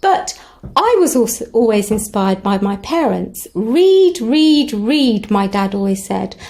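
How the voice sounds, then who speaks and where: At a fairly slow pace, a woman with a non-native accent and a fairly high pitch speaks with very wide pitch swings over noticeable background noise. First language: not English. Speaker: English tutor. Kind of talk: casual vlog address to parents.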